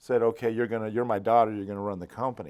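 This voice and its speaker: A man talks with an American accent in an unremarkable speaking voice at medium pitch. His intonation is fairly even, and the recording is very clean with a silent background. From Arizona (South Phoenix). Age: 60s. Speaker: business founder. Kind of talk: casual interview. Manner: conversational, with filler words and restarts.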